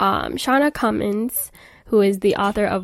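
This woman speaks at a moderate pace with a fairly high pitch. It is an ordinary speaking voice, in a very clean recording with a silent background. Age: 20s. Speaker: podcast host and small business owner. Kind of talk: casual solo chat.

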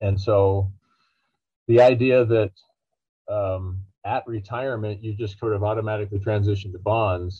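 A man with a fairly low pitch speaks at a moderate pace in a monotone, flat intonation. His voice is somewhat breathy, with long, frequent pauses. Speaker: financial researcher and author. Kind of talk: interview, explanatory.

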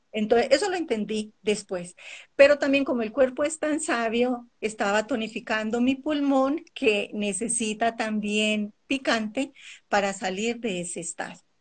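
A woman's normal speaking voice, fairly high in pitch with ordinary pitch variation, against a quiet background. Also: fairly slow pace. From Colombia. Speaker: naturopath and Ayurveda coach. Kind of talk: interview on a live stream.

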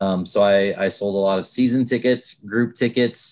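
Recorded very cleanly against a silent background, a man speaks in an ordinary speaking voice, fairly low in pitch, at a moderate pace with fairly even intonation. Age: 40s. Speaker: minor league baseball general manager. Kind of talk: podcast interview.

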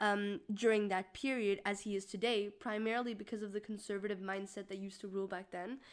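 A woman talks at a very fast clip on a very clean recording with a silent background. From Mexico. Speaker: student podcast co-host. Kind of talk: casual discussion.

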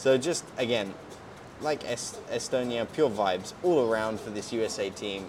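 The pace here is moderate. A man is talking, with a British accent. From Britain. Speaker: podcast host. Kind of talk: casual chat. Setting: outdoors by hotel pool. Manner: relaxed.

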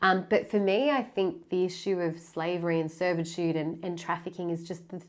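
With an Australian accent, a woman speaks at a moderate pace in a fairly low voice with fairly even intonation. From Sydney, Australia. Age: 30s. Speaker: charity founder and community engagement head. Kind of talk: interview conversation.

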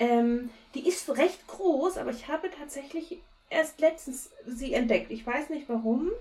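Her voice is high for a woman, with ordinary pitch variation and a fairly slow pace. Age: 30s. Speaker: podcast co-host. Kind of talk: casual chat. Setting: recording from home, remote.

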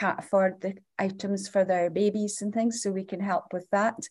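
A woman with a northeast Scottish accent speaks in a dark, mellow tone. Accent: Scottish (north-east). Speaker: charity founder. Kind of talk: interview. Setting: recording room at charity building.

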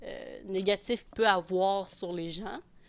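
At a fairly slow pace, a woman with medium pitch talks in an ordinary speaking voice, her intonation fairly even. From Quebec, Abitibi. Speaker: adoptee sharing her story. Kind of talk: casual chat.

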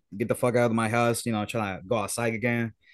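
A man speaks at a medium pitch with a Spanish accent against a quiet background. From Puerto Rico. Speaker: music producer. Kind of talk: casual chat. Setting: video call.

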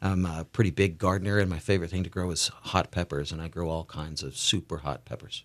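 A man's very deep, low voice in an American accent, very fast with hardly any pauses and fairly even intonation, on a very clean recording with a silent background. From US South, Tennessee (outside Nashville). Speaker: school superintendent. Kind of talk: interview.

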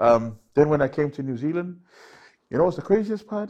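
In a Samoan accent, a man speaks with lively intonation against a quiet background. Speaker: guest host and corporate MC. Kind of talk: casual chat.

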